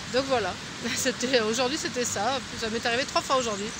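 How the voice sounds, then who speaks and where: Noticeable background noise around a woman's dry voice, free of echo. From France. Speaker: pilgrim vlogger. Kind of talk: casual video diary. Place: garden. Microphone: phone near.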